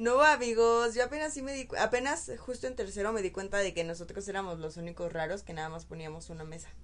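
Very fast, medium-pitched female speech with very wide pitch swings, big swings in loudness and hardly any pauses. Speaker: podcast co-host. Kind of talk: casual chat. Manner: soft-spoken.

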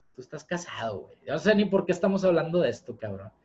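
This man has a high voice and pitch swings that are very wide. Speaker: podcast host. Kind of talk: casual chat.

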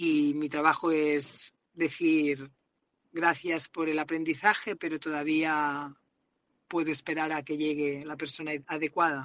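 A woman's very deep, low voice in a flat monotone at a very slow pace. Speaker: salesperson, listener sending a voice message. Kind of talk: personal voice message.

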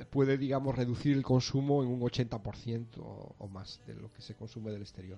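Dark and mellow in tone, a man speaks in a peninsular Spanish accent. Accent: peninsular Spanish, noticeable. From Asturias, Spain. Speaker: organic farm project founder. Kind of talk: interview.

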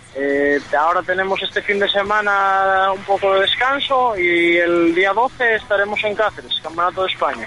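Noticeable background noise sits behind a man's voice. He speaks with a high pitch and ordinary pitch variation. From Spain, Asturias. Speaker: motocross rider. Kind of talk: radio interview.

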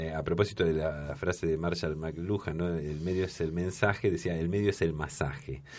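This man has a very deep, low pitch and ordinary pitch variation. He keeps a moderate pace against a quiet background. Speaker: veteran radio broadcaster. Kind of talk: casual chat. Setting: studio.

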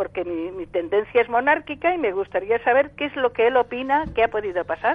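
High-pitched female voice, moderately paced, with very wide swings in pitch. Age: old. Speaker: caller. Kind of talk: phone-in question. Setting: phone call.

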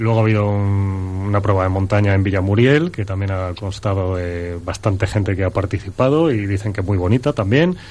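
Against a quiet background, a man with a plain, everyday voice speaks at a fairly low pitch. His pace is fairly quick with hardly any pauses and ordinary pitch variation. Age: middle-aged. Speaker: running pundit. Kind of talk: radio chat.

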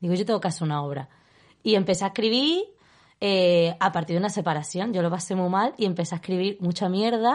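Her medium-pitched voice rushes along as this woman speaks at a very fast pace. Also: ordinary pitch variation. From Zaragoza, Spain, raised in Seville. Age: 20s. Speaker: stage artist and performer. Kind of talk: casual chat.

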